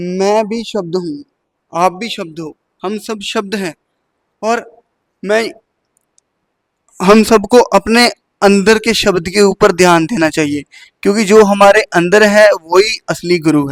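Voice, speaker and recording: A man with a non-native accent, high pitch, big swings in loudness, long and frequent pauses, dry, close sound with no echo. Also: ordinary pitch variation. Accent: non-native Hindi. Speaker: spiritual speaker. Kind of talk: spiritual talk.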